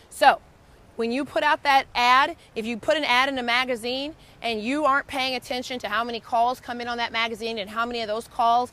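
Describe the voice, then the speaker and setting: A raised, projected voice with an animated tone, ordinary pitch variation and a fairly quick pace. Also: woman. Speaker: lawyer and law firm coach. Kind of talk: tutorial.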